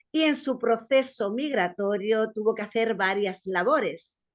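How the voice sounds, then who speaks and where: Speaking at a very slow pace, a woman has a fairly high-pitched voice. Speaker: interview show host. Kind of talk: interview show introduction.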